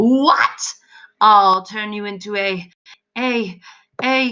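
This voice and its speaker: A put-on character voice, female-sounding and shrill, at a medium pitch for a woman and a very slow pace. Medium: read story. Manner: shrill, blustering.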